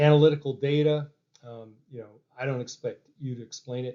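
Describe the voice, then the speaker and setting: A man talks at a moderate pace in a fairly high pitch, his intonation monotone and flat. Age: 60s. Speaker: company founder and chemistry developer. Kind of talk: business presentation. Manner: halting, many fillers.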